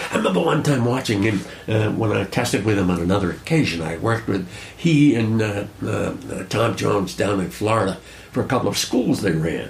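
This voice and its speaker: A man talks at a fairly quick pace in a fairly low voice, with ordinary pitch variation and noticeable background noise. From Rhode Island. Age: 80s. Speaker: fly casting instructor. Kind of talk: casual interview conversation.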